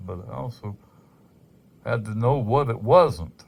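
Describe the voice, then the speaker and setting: A man speaks with a fairly low pitch and lively intonation. His voice is somewhat breathy. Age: 60s. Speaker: amateur rock collector. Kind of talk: casual monologue. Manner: halting.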